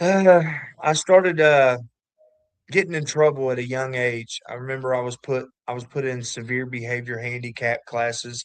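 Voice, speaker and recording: A slight Kentucky accent at a moderate pace, with ordinary pitch variation and big swings in loudness. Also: man, medium pitch for a man. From southwest Ohio, Kentucky family. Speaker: recovering addict sharing testimony. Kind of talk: testimony.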